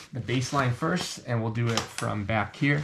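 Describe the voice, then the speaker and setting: Noticeable background noise sits behind a man with a medium pitch. He talks at a moderate pace with ordinary pitch variation. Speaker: airsoft reviewer. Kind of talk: product review tutorial. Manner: halting with many fillers.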